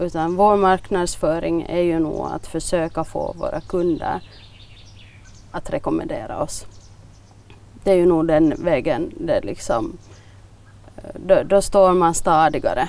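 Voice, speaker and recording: With a Finland-Swedish accent, a woman talks at a fairly slow pace with long, frequent pauses. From Finland, Swedish-speaking Nyland (Bromarv). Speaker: village shop owner. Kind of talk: interview.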